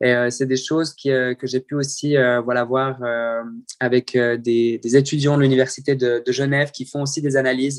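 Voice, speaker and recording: Monotone, flat intonation at a moderate pace. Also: man. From French-speaking Switzerland (Morges). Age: 20s. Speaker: open-water swimmer. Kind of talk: interview. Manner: halting.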